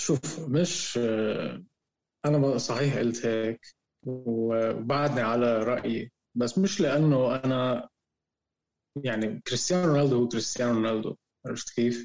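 Delivery is fairly slow, with long, frequent pauses and ordinary pitch variation. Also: man, medium pitch for a man. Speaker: podcast co-host, football fan. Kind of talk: casual chat. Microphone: connection sometimes cutting out.

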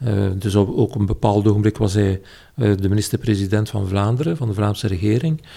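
This man's voice sits fairly low. It carries a dark, mellow tone. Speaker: political philosopher. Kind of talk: casual interview. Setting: at home, at a table. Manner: hesitant, frequent uh.

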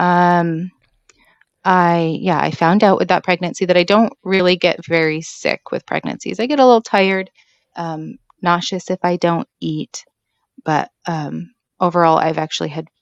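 A woman with an American accent speaks fairly slowly at a fairly low pitch, in a dry, close sound with no echo and a quiet background. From Washington State. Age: 30s. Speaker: homeschooling mother of six. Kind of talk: personal birth story interview.

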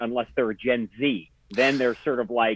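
At a moderate pace, a man talks with medium pitch and fairly even intonation. The sound is dry and close, with no echo. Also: fairly bright tone.

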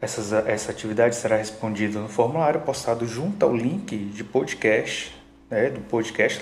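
Speech comes at a moderate pace with hardly any pauses. Audible room echo and noticeable background noise fill the recording. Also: man. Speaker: school teacher. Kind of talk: educational podcast lecture.

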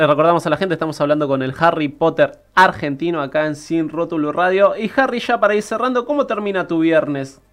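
Music plays in the background as the voice moves at a fairly quick pace with hardly any pauses. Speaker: radio host. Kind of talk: casual chat. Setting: studio.

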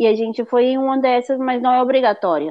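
A woman speaks with ordinary pitch variation. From Northeast Brazil, Fortaleza. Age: 30s. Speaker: au pair. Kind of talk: interview. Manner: halting.

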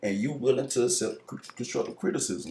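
Speaking very fast, a man uses an American accent. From South Carolina. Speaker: rapper. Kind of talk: casual chat. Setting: studio.

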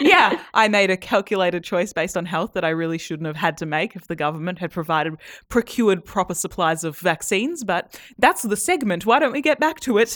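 A woman with an Australian accent, medium in pitch, fairly quick and lively in intonation, with hardly any pauses, on a very clean recording against a silent background. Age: young. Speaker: podcast co-host, journalist. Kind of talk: casual chat.

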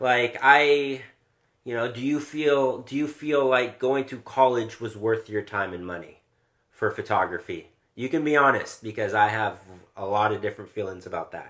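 A man with an American accent talks at a moderate pace in a plain, everyday voice of medium pitch and ordinary pitch variation. The recording is very clean, with a silent background. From Southern California. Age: 30s. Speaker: podcast host, photographer. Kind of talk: casual interview.

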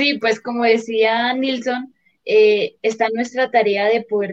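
At a fairly slow pace, a woman speaks in a fairly high pitch with monotone, flat intonation. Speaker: teqball and footvolley player. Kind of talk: casual interview.

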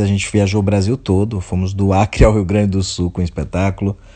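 Pitched fairly low, a man speaks with a dark, mellow tone and fairly even intonation. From Brazil, Bahia (Alagoinhas). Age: 30s. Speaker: playwright and theatre director. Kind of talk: interview.

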